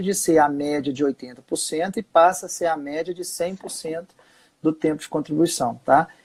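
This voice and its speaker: At a moderate pace, a man with an unremarkable speaking voice talks at a fairly high pitch. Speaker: social security lawyer. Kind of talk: live webinar explanation.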